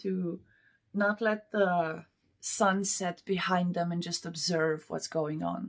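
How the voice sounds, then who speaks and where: Her words come out very slowly. This woman keeps her intonation fairly even. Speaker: tarot reader. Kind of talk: tarot reading.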